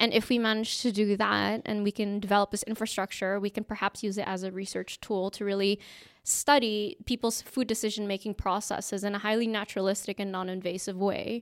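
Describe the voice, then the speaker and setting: At a fairly quick pace with hardly any pauses, a woman of medium pitch speaks in a monotone, flat intonation, recorded very cleanly with a silent background and a dry, close sound with no echo. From Indonesia. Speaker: food science researcher. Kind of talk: interview.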